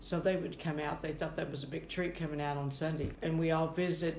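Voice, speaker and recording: In an American accent, a woman with a very deep, low pitch talks at a fairly quick pace in a monotone, flat delivery. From Kentucky (Holy Cross). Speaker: retired hospital worker. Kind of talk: interview storytelling.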